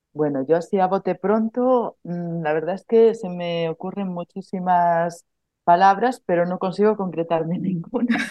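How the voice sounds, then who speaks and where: A woman talks at a fairly slow pace. Her voice is medium in pitch with ordinary pitch variation. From Galicia, Spain (Melide). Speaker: social educator and pedagogy student. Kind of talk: casual chat. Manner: halting.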